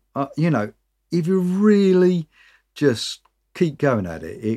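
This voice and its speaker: A man with a British accent, a dark, mellow tone and very wide pitch swings. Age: 50s. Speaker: singer-songwriter. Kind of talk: casual chat. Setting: video call.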